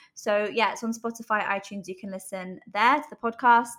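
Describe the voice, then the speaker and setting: In a British accent, a woman speaks at a moderate pace with fairly even intonation. Her medium-pitched voice has a bright, sharp tone. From UK. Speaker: life coach. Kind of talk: interview.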